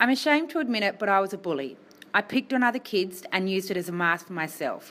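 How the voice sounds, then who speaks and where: Talking at a very fast pace, a woman with a medium pitch and a bright, sharp tone swings very widely in pitch. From Tasmania, Australia. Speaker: health worker and motivational speaker. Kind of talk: speech to students.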